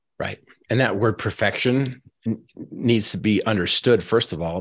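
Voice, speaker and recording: A man talks at a moderate pace in a plain, everyday voice with an American accent, his fairly low pitch showing ordinary variation. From Northern Utah. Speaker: motivational speaker and Paralympic athlete. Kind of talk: motivational talk. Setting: video call. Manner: repeats words when starting sentences.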